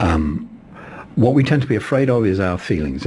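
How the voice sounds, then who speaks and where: A man speaking over noticeable background noise. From England. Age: 60s. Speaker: poet and ritualist. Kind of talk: interview. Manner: halting, repeats words.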